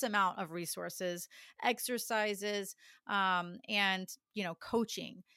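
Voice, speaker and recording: An animated speaker with an American accent has a bright, sharp tone and ordinary pitch variation. The recording is very clean with a silent background and a dry, close sound with no echo. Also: woman. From Texas, Dallas. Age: 40s. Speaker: singer and music coach. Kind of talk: interview.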